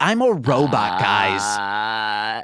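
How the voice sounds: A man puts on a character voice pitched fairly low. Light background noise sits behind him.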